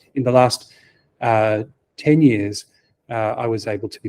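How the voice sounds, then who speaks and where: Speaking in an Australian accent, a man has a dark, mellow tone and fairly even intonation, with a dry, close sound and no echo. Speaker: software architect. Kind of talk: conference talk. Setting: meetup talk with audience. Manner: hesitant, many fillers.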